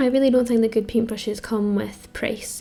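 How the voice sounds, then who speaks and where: The speaker talks at a fairly quick pace with a Scottish accent. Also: woman. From Scotland. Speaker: amateur artist and video creator. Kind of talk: casual voiceover tutorial. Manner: casual with many fillers.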